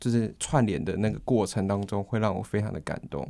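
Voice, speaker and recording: Against a quiet background, a man speaks in a fairly low pitch with a dark, mellow tone and ordinary pitch variation. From Taiwan, Kaohsiung (Xiaogang); Taiwan. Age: 20s. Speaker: university student. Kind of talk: interview; interview answer. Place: studio.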